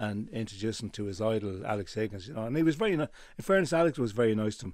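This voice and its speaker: The speaker talks at a very fast pace with ordinary pitch variation on a very clean recording with a silent background. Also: man. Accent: Dublin. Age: 70s. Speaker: tailor and menswear retailer. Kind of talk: radio interview. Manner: halting.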